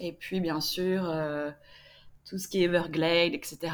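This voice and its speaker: This woman has a fairly low voice and a fairly slow pace. The recording is very clean, with a silent background. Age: 30s. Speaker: former office worker and solo traveller. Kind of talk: interview testimony. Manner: halting, many fillers.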